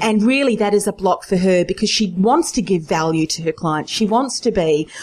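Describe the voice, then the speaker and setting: At a moderate pace, a woman with an unremarkable speaking voice talks with lively intonation. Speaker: podcast host. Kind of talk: interview, business podcast.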